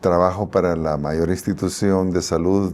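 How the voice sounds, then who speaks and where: A man speaks with a dark, mellow tone. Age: 70s. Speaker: pediatric doctor. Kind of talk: testimony interview.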